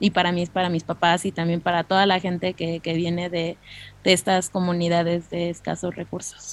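At a moderate pace, the speaker talks in a central Mexican accent with monotone, flat intonation. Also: woman, fairly low pitch for a woman. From Mexico (Mexico City area). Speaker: recruiter. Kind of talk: interview.

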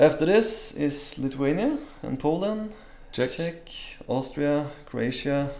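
With a Norwegian accent, a man with a fairly high pitch and lively intonation speaks at a very slow pace with long, frequent pauses over noticeable background noise. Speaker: traveler. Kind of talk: casual chat. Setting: livestream.

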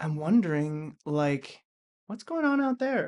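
Here a man has an unremarkable speaking voice, pitched fairly high. He speaks at a fairly slow pace against a quiet background. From Vancouver, Canada. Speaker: actor and writer. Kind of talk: casual chat, storytelling.

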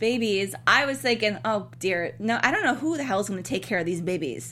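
A woman talks at a fairly quick pace with very wide pitch swings. Vocal fry runs through her speech. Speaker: TV after-show host. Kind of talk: casual chat. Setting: studio.

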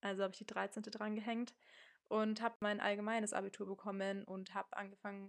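A woman's voice at medium pitch. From Munich, Germany. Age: 20s. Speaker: podcast host. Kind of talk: casual monologue. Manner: casual, youthful slang.

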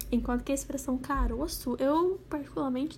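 Pitch varies in an ordinary way as the talk runs at a fairly quick pace. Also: woman. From Minas Gerais, Brazil. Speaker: podcast guest. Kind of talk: casual chat.

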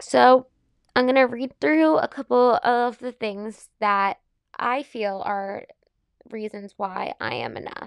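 In a dry, close sound with no echo, a woman speaks at a very slow pace in a fairly high pitch, her intonation lively and her loudness swinging widely. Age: 20s. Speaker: podcast host and fitness class instructor. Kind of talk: casual solo chat.

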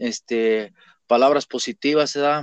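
In a plain, everyday voice, a man talks at a fairly slow pace and fairly high pitch with ordinary pitch variation, the sound dry and close with no echo and the background quiet. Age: 20s. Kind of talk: testimony.

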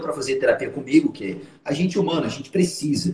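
With ordinary pitch variation, the man uses an ordinary speaking voice. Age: 30s. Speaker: hypnotherapist and trainer. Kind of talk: live stream conversation.

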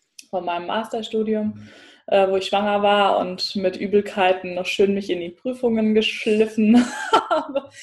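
Speaking at a fairly slow pace, a woman has a fairly high pitch and an ordinary speaking voice. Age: 20s. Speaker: psychologist and mother. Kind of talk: interview.

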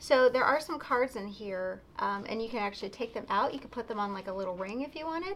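A woman talks at a very fast pace in a fairly high voice with lively intonation. Noticeable background noise runs underneath. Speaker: pen shop video co-host. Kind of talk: casual product talk video.

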